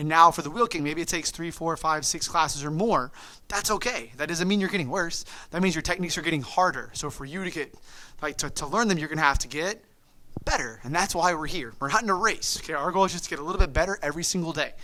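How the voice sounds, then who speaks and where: Very fast and animated, a man talks in a high-pitched, bright, sharp voice with ordinary pitch variation. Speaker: martial arts instructor. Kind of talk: online class instruction.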